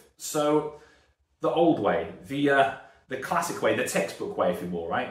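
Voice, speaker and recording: Audible room echo surrounds a man with a British accent whose pitch swings very widely. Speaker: strength and conditioning coach. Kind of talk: YouTube talk to camera. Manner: casual, rambling with fillers.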